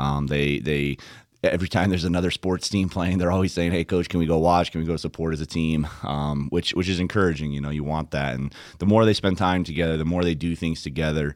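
Talking at a very fast pace, a man with a very deep, low pitch keeps his intonation fairly even on a very clean recording with a silent background. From Democratic Republic of the Congo, missionary family. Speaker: college soccer head coach. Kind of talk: interview. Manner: hesitant, many fillers and repetitions.

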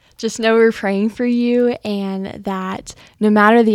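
A woman with an American accent in an ordinary speaking voice, fairly slow and fairly even in intonation, on a very clean recording with a silent background and a dry, close sound with no echo. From Texas (El Campo). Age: young. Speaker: college student, scholarship recipient. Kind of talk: casual chat. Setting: studio.

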